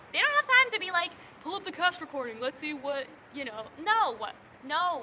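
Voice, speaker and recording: A woman's raised, projected voice, animated in tone, with very wide pitch swings over noticeable background noise. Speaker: musical theatre audition coach. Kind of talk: casual tutorial vlog.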